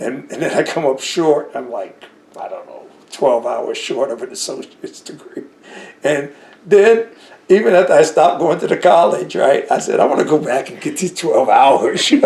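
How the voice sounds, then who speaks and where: A man in an American accent at a moderate pace, with big swings in loudness and noticeable background noise. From New Jersey. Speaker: war veteran. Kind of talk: interview. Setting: at home.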